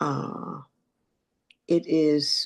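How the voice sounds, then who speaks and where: A woman speaks with a very deep, low pitch. Her voice carries vocal fry. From North Carolina. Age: 90s. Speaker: AA speaker. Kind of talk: recovery testimony.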